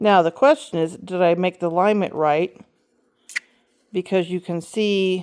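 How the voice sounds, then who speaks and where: A woman speaks at medium pitch and a fairly slow pace, leaving long, frequent pauses. Her pitch varies in an ordinary way, and the sound is dry and close with no echo. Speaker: cross stitch designer and video host. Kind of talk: tutorial. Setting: home stitching spot, filming herself. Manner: halting, with many fillers. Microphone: camera mic very close to mouth.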